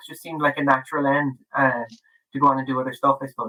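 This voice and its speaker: A man's bright, sharp voice at a very fast pace. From Ireland, Dublin. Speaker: author. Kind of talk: podcast interview. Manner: halting, many fillers and restarts.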